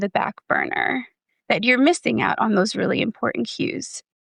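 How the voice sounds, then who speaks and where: A woman's fairly high voice with vocal fry has a dry, close sound with no echo. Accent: American. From New Jersey. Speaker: therapist and former foster youth. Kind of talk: podcast interview.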